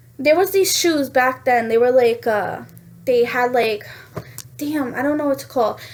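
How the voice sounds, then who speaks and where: A woman with a New York accent speaks at a fairly slow pace in an animated tone, her pitch high. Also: ordinary pitch variation. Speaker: vlogger. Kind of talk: casual vlog monologue.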